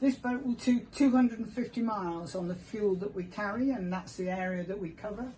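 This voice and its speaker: With noticeable background noise behind her, a woman of medium pitch and ordinary pitch variation speaks at a fairly quick pace with hardly any pauses. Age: 70s. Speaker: lifeboat station volunteer tour guide. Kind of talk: guided tour explanation. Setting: aboard a lifeboat.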